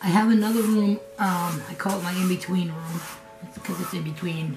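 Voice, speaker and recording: A woman with an American accent speaks over background music, with audible echo in the room. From New England, US. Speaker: craft vlogger. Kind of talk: casual vlog. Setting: home kitchen studio. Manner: conversational, rambling with fillers.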